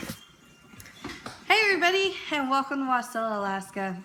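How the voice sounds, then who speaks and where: A woman speaks in a raised, projected voice with a high pitch at a fairly slow pace. Noticeable background noise runs beneath her. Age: 20s. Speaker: speaker sharing personal story. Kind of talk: presentation talk. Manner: hesitant, many fillers.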